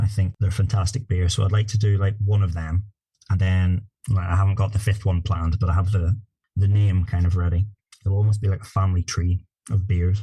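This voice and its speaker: The voice is somewhat breathy, with monotone, flat intonation. It moves at a fairly quick pace with very even loudness. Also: man, fairly low pitch for a man. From Northern Ireland, north coast. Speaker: craft brewer. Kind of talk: podcast interview.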